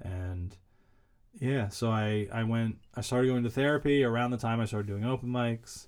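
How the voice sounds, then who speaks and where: In a very clean recording with a silent background, a man of medium pitch speaks at a moderate pace with fairly even intonation. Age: 30s. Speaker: comedian and writer. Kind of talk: interview about mental health. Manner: varied pitch, not monotone.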